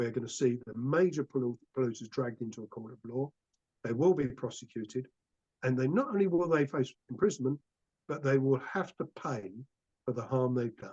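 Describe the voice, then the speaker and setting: Somewhat breathy, a man talks at a fairly quick pace. His medium pitch has ordinary variation. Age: 60s. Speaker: climate campaigner. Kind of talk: public talk. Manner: impassioned.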